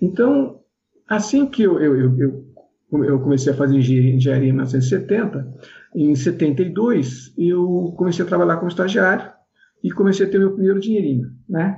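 Speaking at a fairly slow pace, a man uses a high pitch that swings very widely. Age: 60s. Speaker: former kart racer and event organizer. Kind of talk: interview. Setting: video call. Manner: halting.

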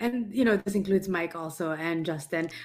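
A woman with ordinary pitch variation and a normal speaking voice. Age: 30s. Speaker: podcast co-host. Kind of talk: casual chat.

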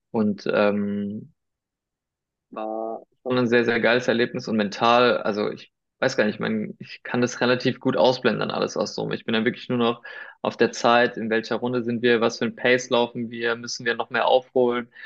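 Against a quiet background, a man with a medium-pitched voice speaks at a moderate pace in a monotone, flat intonation. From Germany, Heidelberg, Spanish family. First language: Spanish (speaking German). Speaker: sports commentator. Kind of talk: casual chat.

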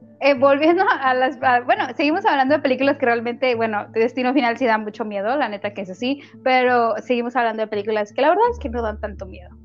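Over noticeable background noise, a woman with a high voice talks very fast, with hardly any pauses and ordinary pitch variation. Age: 20s. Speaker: podcast host. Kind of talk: casual chat. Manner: animated.

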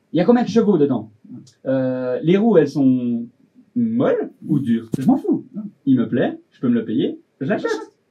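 A man with a dark, mellow tone and a fairly high pitch speaks fairly slowly with very wide pitch swings, big swings in loudness, and long, frequent pauses. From Switzerland. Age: 20s. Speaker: fashion designer. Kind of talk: casual interview. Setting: studio.

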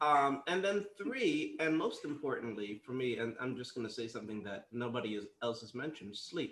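With an unremarkable speaking voice, a man talks at medium pitch and a moderate pace, his intonation lively and hardly any pauses between phrases. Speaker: podcast host. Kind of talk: casual panel discussion.

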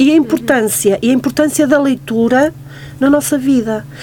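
Noticeable background noise sits behind a woman's voice. She speaks at a high pitch and a moderate pace. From Portugal. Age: 40s. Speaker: tarot card reader. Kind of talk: radio interview. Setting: studio.

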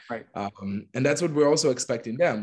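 Against a quiet background, a man with an Israeli accent talks at a very fast pace. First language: Hebrew. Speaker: LGBTQ+ activist. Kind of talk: interview.

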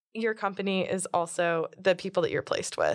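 With an American accent, a woman at a medium pitch talks at a fairly quick pace in a plain, everyday voice, in a very clean recording with a silent background. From Florida. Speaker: university student. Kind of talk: testimony.

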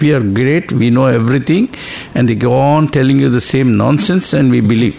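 Over noticeable background noise, a man talks fairly quickly at a medium pitch, with ordinary pitch variation and very even loudness. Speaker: retired professor. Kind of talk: spiritual discussion.

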